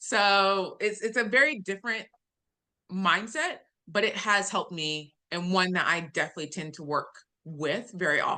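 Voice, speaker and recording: A woman with an American accent at medium pitch, bright and sharp in tone, with lively intonation at a moderate pace against a quiet background. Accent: Southern US accent, toned down online. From US South. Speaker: data analytics executive. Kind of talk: webinar talk. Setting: video call. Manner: clearly enunciated, newscaster-like; customer service voice.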